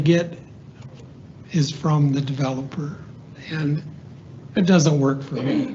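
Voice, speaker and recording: Audible room echo surrounds a man who speaks at a fairly slow pace with fairly even intonation. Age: 70s. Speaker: member of the public giving comment, retired military project manager. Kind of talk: public comment at council meeting. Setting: county commission meeting room.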